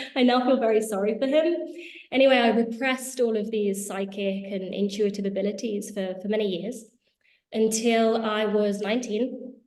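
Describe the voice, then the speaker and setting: The speaker has a British accent and talks at a moderate pace with fairly even intonation. Audible room echo surrounds the voice. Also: woman, fairly high pitch for a woman. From England, Spanish family. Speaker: healing school founder and entrepreneur. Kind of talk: interview. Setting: video call.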